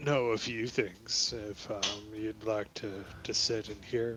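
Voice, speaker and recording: Using a put-on character voice at medium pitch, a man speaks very slowly against clear background noise. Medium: actual play. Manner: plain-spoken, folksy.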